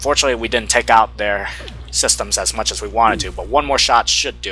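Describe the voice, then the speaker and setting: A man talks at a very fast pace with big swings in loudness. Music plays in the background. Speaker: gaming video creator. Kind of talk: let's play commentary.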